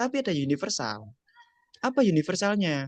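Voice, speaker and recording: The speaker has a slight Javanese accent and keeps a moderate pace. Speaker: speaker at a mental health webinar. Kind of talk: online seminar talk. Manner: conversational with frequent fillers.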